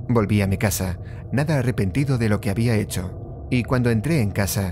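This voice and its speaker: A man speaks in a dramatic, intense tone at a moderate pace, his loudness very even. His medium pitch shows ordinary variation, with noticeable background noise behind him. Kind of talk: scripted horror story narration, first-person creepypasta. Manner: suspenseful, hushed, dramatic pacing with pauses; intense, menacing build-up toward the killing.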